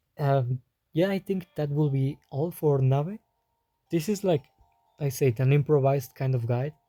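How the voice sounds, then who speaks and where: Music plays in the background as the speaker talks with a non-native accent. The pace is fairly slow, with ordinary pitch variation. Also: man. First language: not English. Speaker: gaming youtuber. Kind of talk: improvised game guide. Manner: halting, stuttering.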